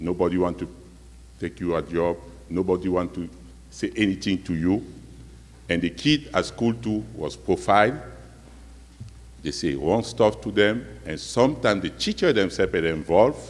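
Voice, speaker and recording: A man's very deep, low voice with a non-native accent, vocal fry, very wide pitch swings, a moderate pace and long, frequent pauses. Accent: foreign accent, non-native. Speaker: community member speaking at public forum. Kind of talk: personal testimony at public meeting. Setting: community meeting in school hall.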